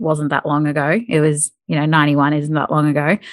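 A woman's very deep, low voice with an Australian accent, in a very clean recording with a silent background. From North Queensland, Australia. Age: 30s. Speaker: podcaster. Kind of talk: interview.

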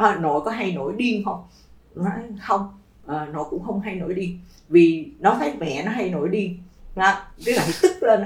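Against noticeable background noise and audible room echo, a woman speaks at a medium pitch and a fairly slow pace, with ordinary pitch variation and long, frequent pauses. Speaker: education administrator. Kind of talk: casual chat.

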